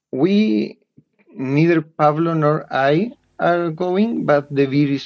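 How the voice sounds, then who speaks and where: A man with a Spanish accent speaks at a very slow pace. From Chile. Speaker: board game designer and publisher. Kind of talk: interview. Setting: remote call. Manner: halting, many fillers and repetitions.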